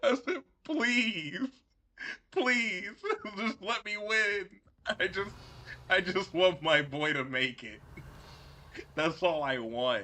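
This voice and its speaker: Speaking very slowly with long, frequent pauses, a man uses a raised, projected voice that is high-pitched, bright and sharp, with very wide pitch swings. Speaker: gaming streamer. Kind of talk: casual gameplay commentary. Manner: animated, gets loud.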